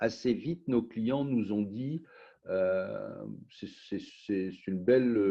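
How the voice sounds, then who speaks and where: The man speaks at a very slow pace and medium pitch, with ordinary pitch variation. His loudness swings widely. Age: 60s. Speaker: wine company founder. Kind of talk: interview.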